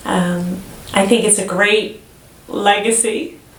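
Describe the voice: A woman speaks slowly at medium pitch with a fairly bright tone and fairly even intonation. Audible room echo surrounds her voice.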